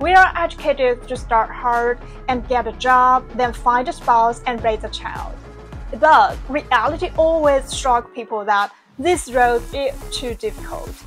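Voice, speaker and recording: A woman's fairly slow speech comes over music in the background. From China. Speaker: video essayist. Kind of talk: scripted narration.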